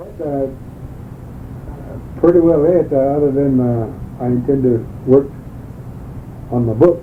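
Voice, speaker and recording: A man with an American accent speaks at a fairly slow pace and fairly high pitch, his intonation fairly even and broken by long, frequent pauses. Audible room echo and noticeable background noise fill the recording. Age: 60s. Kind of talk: oral history interview. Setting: interview at home, cassette recording. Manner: halting.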